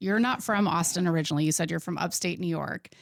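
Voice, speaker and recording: On a very clean recording with a silent background, a woman with a plain, everyday voice speaks with an American accent, her pitch fairly low and its variation ordinary. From Nebraska, small town. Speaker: podcast host. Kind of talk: podcast interview.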